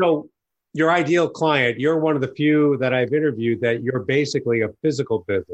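A man in an American accent, fairly quick, with ordinary pitch variation and a plain, everyday voice. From New York. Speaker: podcast host, business advisor. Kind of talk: interview.

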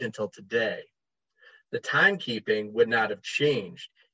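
At a fairly quick pace, a man of medium pitch speaks with an American accent and lively intonation. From United States. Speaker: heathen writer and musician. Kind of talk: casual interview chat.

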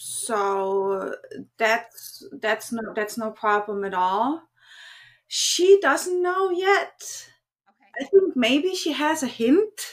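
This woman speaks very slowly in a German accent. Her high pitch swings very widely. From Germany. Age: 40s. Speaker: cam model and content creator. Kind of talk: casual interview.

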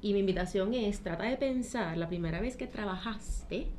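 A woman with a medium-pitched voice speaks in a space with audible room echo. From Puerto Rico, Trujillo Alto. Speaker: accountant and financial educator. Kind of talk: interview.

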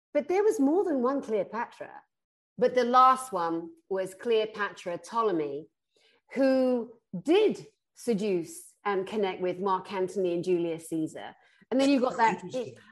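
In an ordinary speaking voice, a woman with a fairly high pitch talks at a fairly slow pace with lively intonation. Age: 50s. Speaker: spiritual therapist. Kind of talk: casual interview chat.

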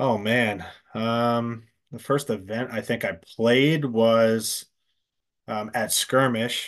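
Speaking very slowly, a man leaves long, frequent pauses. His pitch is medium, his intonation fairly even, and the background is quiet. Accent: American. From Pennsylvania, US. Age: 40s. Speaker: paintball company sales rep. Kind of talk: casual interview chat.

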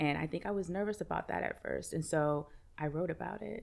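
Heard on a very clean recording with a silent background, a woman talks with an American accent. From US Northeast, Brooklyn, New York. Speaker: meditation teacher and author. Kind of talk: casual chat.

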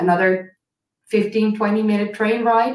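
A woman speaks at a fairly slow pace. Her pitch sits fairly high. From Netherlands. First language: Dutch. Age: 30s. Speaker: ancient history YouTuber. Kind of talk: casual interview chat. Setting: live-streamed video call. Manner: animated, laughs often.

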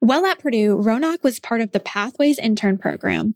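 At a fairly quick pace, a woman with an American accent and an ordinary speaking voice talks at a fairly high pitch, the sound dry and close with no echo. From Indiana. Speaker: university podcast host. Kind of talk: interview; scripted narration.

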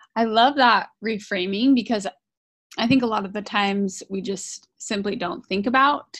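Over a quiet background, a woman with an unremarkable speaking voice talks at a medium pitch and a fairly slow pace, with ordinary pitch variation. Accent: American. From Idaho, US. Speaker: parenting podcast co-host. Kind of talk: casual interview. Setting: recording studio.

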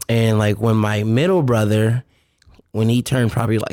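In an American accent, a plain, everyday voice speaks at a moderate pace with fairly even intonation. The recording is very clean with a silent background and a dry, close sound with no echo. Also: man. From Richmond, Virginia, US. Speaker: touring keyboard player. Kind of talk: casual chat.

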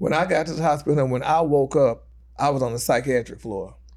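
A man with an American accent, medium pitch, vocal fry and ordinary pitch variation, talking at a very fast pace on a very clean recording with a silent background. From Texas, rural. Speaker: radio personality and actor. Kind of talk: casual chat. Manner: animated.

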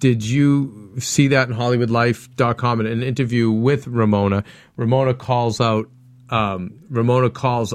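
An ordinary speaking voice from a man at medium pitch, with fairly even intonation, on a very clean recording with a silent background. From Italian-American background. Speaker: after-show TV recap host. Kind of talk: casual panel chat. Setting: studio.

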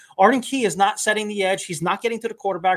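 The tone is bright and sharp. It belongs to a man. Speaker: podcast co-host. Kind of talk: casual chat.

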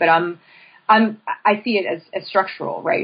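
A woman with a Pennsylvania accent talks at a fairly quick pace, using ordinary pitch variation. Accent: Pennsylvania American. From central Pennsylvania, State College. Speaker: professor. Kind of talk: interview.

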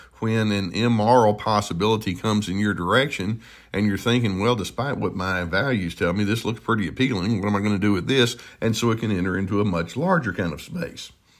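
Talking at a fairly quick pace, a man keeps a fairly low pitch with ordinary pitch variation. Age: 60s. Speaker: therapist. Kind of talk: solo podcast talk. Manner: hesitant, many filler words.

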